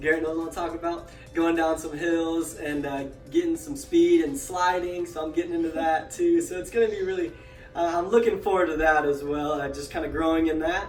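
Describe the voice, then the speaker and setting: With music in the background and audible room echo, a man speaks at a fairly quick pace in a high pitch with fairly even intonation. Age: 20s. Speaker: podcast host, pool repair technician. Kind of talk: casual self-introduction. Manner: hesitant, many fillers.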